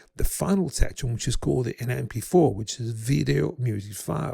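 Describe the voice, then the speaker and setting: Dark and mellow in tone, a man's voice shows vocal fry. He moves at a moderate pace with very wide pitch swings. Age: 70s. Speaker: guitarist and music rehabilitation teacher. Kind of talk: presentation. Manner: halting, many fillers.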